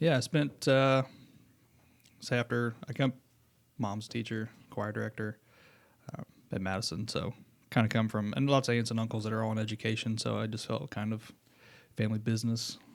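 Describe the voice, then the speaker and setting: A man with a Southern Indiana accent talks at a medium pitch and a fairly quick pace. He leaves long, frequent pauses. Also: fairly even intonation. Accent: Southern Indiana twang. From Southern Indiana, US. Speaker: school principal. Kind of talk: interview. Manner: casual, informal.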